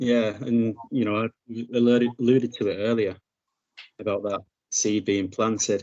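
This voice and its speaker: Speaking at a fairly slow pace, a man with a northern English accent holds a fairly low pitch in monotone, flat intonation. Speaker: podcast host. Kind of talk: podcast interview.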